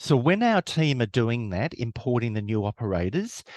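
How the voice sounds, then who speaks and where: A man with an Australian accent at a moderate pace and medium pitch, in a dry, close sound with no echo and a quiet background. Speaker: webinar presenter. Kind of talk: webinar presentation.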